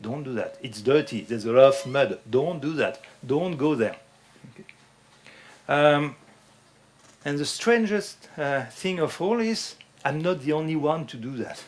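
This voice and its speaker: A man with a French accent, a fairly slow pace, lively intonation and long, frequent pauses. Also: fairly high pitch for a man, big swings in loudness. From France. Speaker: fitness instructor. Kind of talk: lecture. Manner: halting.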